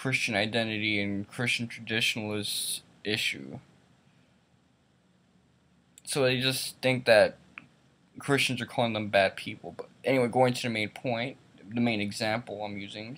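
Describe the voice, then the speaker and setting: At a moderate pace, a man talks with fairly even intonation and long, frequent pauses. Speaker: vlogger. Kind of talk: casual opinion vlog rant. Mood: annoyed, critical. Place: home room. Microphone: webcam.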